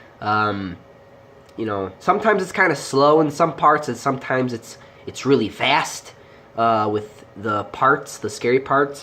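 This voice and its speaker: Very deep and low for a woman, her voice moves in very wide pitch swings at a fairly slow pace. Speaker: movie reviewer. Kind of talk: casual movie review. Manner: hesitant, many fillers.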